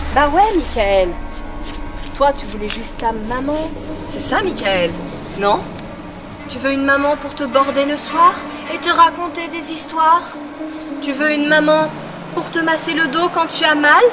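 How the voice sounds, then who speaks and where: A woman speaks in a raised, projected voice at a very slow pace, with long, frequent pauses. Clear music plays in the background. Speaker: actress in amateur film. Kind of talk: dramatic acted dialogue. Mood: tense, defiant confrontation. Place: garden.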